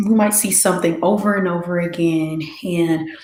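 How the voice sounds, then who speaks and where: Amid audible room echo and noticeable background noise, a woman talks at a moderate pace in a fairly low pitch with monotone, flat intonation. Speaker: meditation session host. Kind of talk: guided reflection after meditation. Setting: YouTube livestream. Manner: soft-spoken, low.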